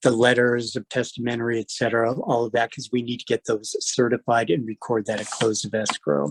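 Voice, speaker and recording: A man with a normal speaking voice at a medium pitch, fairly even intonation and a fairly quick pace. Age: 60s. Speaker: escrow officer teaching a class. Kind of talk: lecture.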